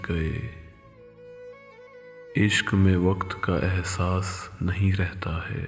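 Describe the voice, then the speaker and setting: A man's very deep, low voice with music in the background. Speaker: poetry reciter. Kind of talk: poetry reading.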